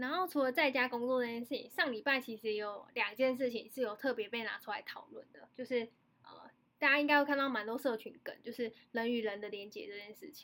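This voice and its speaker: A woman at a high pitch, with a bright, sharp tone, big swings in loudness, ordinary pitch variation and a fairly quick pace. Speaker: podcast host. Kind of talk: casual chat. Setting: remote online recording from home. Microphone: remote recording, odd sound quality with echo.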